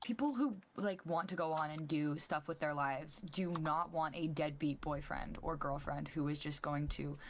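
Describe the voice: At a moderate pace, a woman speaks in a raspy, low voice with ordinary pitch variation.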